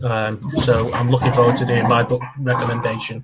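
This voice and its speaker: Speaking at a very fast pace, a man keeps a medium pitch in a monotone, flat intonation. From northern England, Oldham. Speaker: podcast host. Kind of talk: casual chat.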